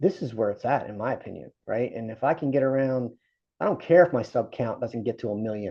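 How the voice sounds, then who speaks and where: Medium in pitch, a man's voice moves at a fairly quick pace with lively intonation. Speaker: handyman vlogger. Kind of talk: casual vlog monologue. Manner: rambling, halting with false starts.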